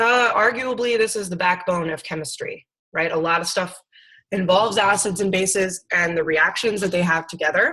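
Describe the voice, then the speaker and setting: A woman speaks loudly in a bright, sharp tone with ordinary pitch variation. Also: medium pitch for a woman, moderate pace. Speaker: science teacher. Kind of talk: lecture.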